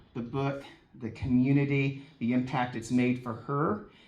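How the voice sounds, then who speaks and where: Medium pitch from a male speaker, plus audible echo from the room. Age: 60s. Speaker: author and networking event organizer. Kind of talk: speech at a book signing event. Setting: live event room with audience. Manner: halting, many repeated words.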